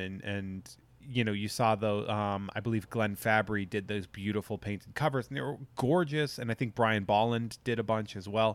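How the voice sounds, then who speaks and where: In a plain, everyday voice, a man speaks at medium pitch and a moderate pace. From Massachusetts. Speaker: podcast host and collectibles industry worker. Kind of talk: casual chat.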